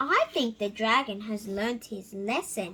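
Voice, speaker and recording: Using a put-on character voice, a woman speaks at a fairly high pitch. Her pace is fairly slow. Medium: read story. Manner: hearty, declaiming.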